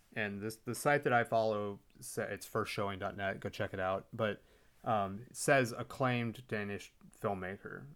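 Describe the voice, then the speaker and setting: At a moderate pace, a man with a Texan accent speaks on a very clean recording with a silent background. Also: fairly low pitch for a man, ordinary pitch variation. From Texas. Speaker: film podcast host. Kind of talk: casual chat.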